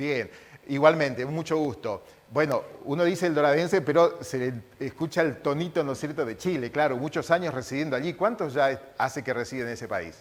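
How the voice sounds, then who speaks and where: A man talks with a normal speaking voice. His pitch is fairly high and his pace fairly quick. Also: ordinary pitch variation. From Misiones, Argentina. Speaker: TV interviewer. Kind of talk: interview.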